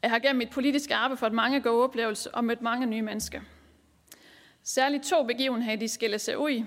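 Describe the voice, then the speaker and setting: Over a very clean recording with a silent background, a woman with a Southern Jutland accent speaks at a very fast pace in a high pitch with fairly even intonation. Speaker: local councillor and party group leader. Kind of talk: conference speech. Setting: conference hall with audience.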